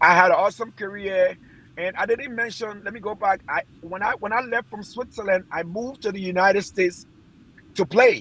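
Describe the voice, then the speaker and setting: A man with a high-pitched voice and a bright, sharp tone speaks at a fairly quick pace with ordinary pitch variation. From Liberia. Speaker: former footballer. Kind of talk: interview testimony.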